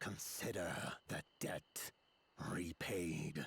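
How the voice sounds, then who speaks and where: A man puts on a growling character voice. His pitch is very deep and low. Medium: video game. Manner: curt, commanding.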